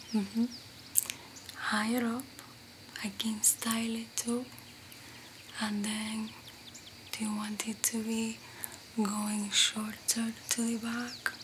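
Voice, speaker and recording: Very slowly, a woman speaks in a monotone, flat intonation, with long, frequent pauses. Noticeable background noise is present. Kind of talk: soft-spoken roleplay chat to camera. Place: home room.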